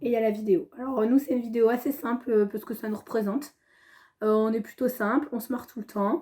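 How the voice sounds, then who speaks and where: At a very fast pace, the voice has a dark, mellow tone and ordinary pitch variation, recorded very cleanly over a silent background. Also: woman, fairly high pitch for a woman. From Normandy, France (Le Havre). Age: 30s. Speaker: school education counsellor, reality show applicant. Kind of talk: casual audition video. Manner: animated, laughing.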